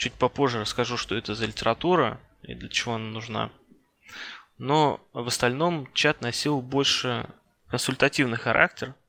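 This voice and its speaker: A man talks at a medium pitch and moderate pace, with ordinary pitch variation and big swings in loudness, leaving long, frequent pauses. The sound is dry and close, with no echo. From Russia, Ryazan. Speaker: network engineer. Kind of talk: interview.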